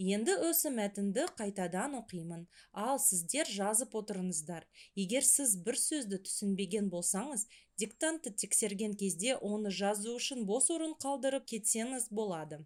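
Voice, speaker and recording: A woman speaks fairly slowly at a fairly high pitch, with lively intonation. She has a normal speaking voice. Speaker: language teacher. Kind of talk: tutorial.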